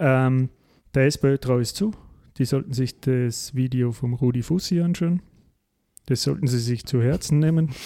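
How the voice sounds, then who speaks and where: Speech comes at a fairly slow pace with long, frequent pauses and ordinary pitch variation. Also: man, medium pitch for a man. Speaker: podcast host. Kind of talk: casual political discussion.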